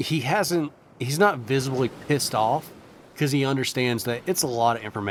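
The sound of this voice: An unforced voice reads with ordinary pitch variation.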